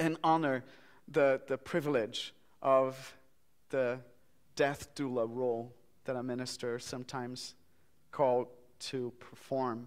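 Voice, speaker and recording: A man with a Portuguese accent speaks at a fairly slow pace and a medium pitch. His delivery is flat and monotone, broken by long, frequent pauses. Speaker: minister. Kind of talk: eulogy at memorial service. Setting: church memorial service.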